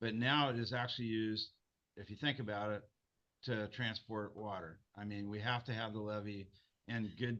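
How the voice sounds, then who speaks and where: Loud and bright with a sharp tone, a man with a fairly low pitch speaks at a moderate pace with fairly even intonation. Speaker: county supervisor. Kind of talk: public meeting discussion. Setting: video call.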